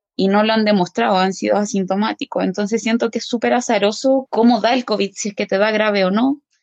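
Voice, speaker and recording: A woman's fairly high voice at a fairly quick pace, ordinary pitch variation, and a dry, close sound with no echo. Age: 30s. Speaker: intermediate-care nurse. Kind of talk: interview testimony.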